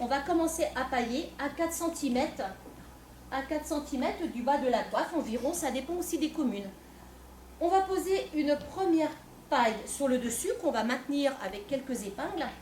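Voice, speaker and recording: Loud and lively in intonation, a woman speaks at a moderate pace in a high pitch. Noticeable background noise and audible room echo surround her. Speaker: folk dance group member presenting costume. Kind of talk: live presentation to an audience. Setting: stage with audience, no microphone. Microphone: no microphone, speaking unamplified.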